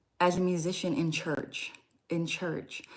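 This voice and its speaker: A soft-spoken woman talks at a very slow pace with a fairly low pitch. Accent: American. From Louisiana, near New Orleans. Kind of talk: casual livestream talk.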